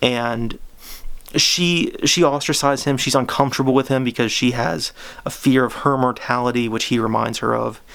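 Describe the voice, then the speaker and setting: A man's medium-pitched voice with ordinary pitch variation at a moderate pace, over noticeable background noise. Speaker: book reviewer. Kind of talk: casual book review. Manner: halting, many false starts; unscripted, off the cuff.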